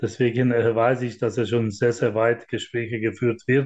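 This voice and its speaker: The speaker is a man. He delivers his words in a monotone, with flat intonation. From Hungary. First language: Hungarian (speaking German). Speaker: handball club managing director. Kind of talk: interview.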